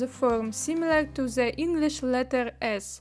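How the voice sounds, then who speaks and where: This woman's voice sits high, with ordinary pitch variation and a non-native accent. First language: not English. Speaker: 3D artist. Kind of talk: tutorial. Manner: hesitant with fillers.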